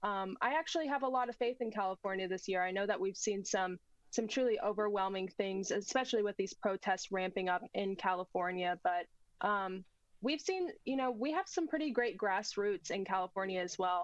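A woman with an ordinary speaking voice talks at a moderate pace and medium pitch, with ordinary pitch variation and very even loudness. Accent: American. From United States. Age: 20s. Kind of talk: political talk show interview.

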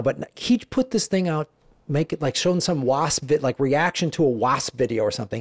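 In an ordinary speaking voice, a man with an American accent talks at a fairly quick pace with ordinary pitch variation, on a very clean recording with a silent background. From Chicago area, US Midwest. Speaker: stand-up comedian. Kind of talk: casual interview.

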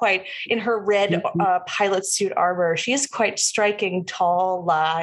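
This is reading aloud in a natural voice, with fairly even intonation.

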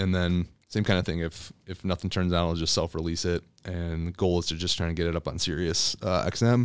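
On a very clean recording with a silent background, a man with an American accent talks at a fairly quick pace in a very deep, low pitch. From Michigan. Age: 40s. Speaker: lawyer and stand-up comedian. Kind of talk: casual chat.

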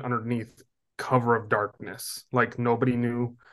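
Speaking in an American accent at a fairly slow pace, a man with a medium pitch is heard against a quiet background. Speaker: conference co-founder, young adult ministry leader. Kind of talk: interview.

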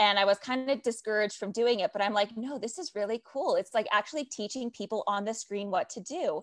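An animated woman's voice, dry and close with no echo, over a quiet background, with ordinary pitch variation. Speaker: digital adoption leader. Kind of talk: interview.

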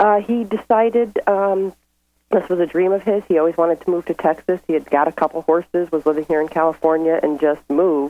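This woman's intonation is lively. She speaks at a fairly quick pace. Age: 40s. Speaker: caller, single mother. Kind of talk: advice call. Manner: halting.

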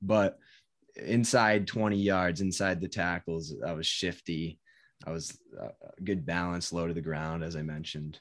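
The speaker has an American accent and a moderate pace. Pitch varies in an ordinary way over a quiet background. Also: man, very deep, low pitch for a man. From US Northeast (Connecticut). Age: 20s. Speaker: fitness content creator. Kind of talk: casual chat.

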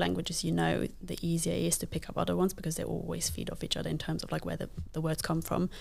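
Someone talks at a very fast pace with a Luxembourgish accent. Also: woman. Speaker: parkour athlete and digital lead. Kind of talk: casual interview.

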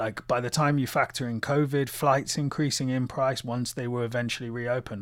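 With a British accent, a man speaks at a medium pitch and a moderate pace on a very clean recording with a silent background. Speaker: musician. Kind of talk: casual chat.

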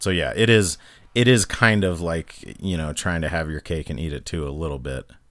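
Over a silent background on a very clean recording, a man speaks at a moderate pace in a very deep, low voice with ordinary pitch variation. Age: 30s. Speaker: podcast host. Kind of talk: casual banter.

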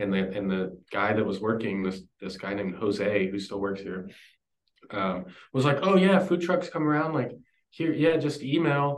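Speaking at a moderate pace with a Texan accent, a man's fairly low voice moves through very wide pitch swings. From Texas. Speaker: barbecue cook, former brewer. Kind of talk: casual interview.

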